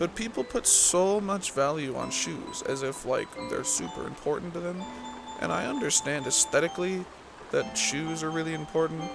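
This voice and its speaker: A soft-spoken voice with ordinary pitch variation comes through over music in the background. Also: man, fairly high pitch for a man, moderate pace. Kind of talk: casual rambling bedtime talk.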